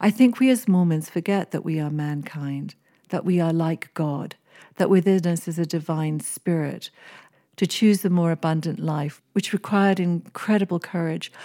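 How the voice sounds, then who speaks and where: In an English accent, this voice has a dark, mellow tone, ordinary pitch variation and a moderate pace, captured with dry, close sound with no echo on a very clean recording with a silent background. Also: woman, fairly low pitch for a woman. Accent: English-sounding. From East Africa (Kenya, Seychelles). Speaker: author and religious scholar. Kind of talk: interview. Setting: podcast interview.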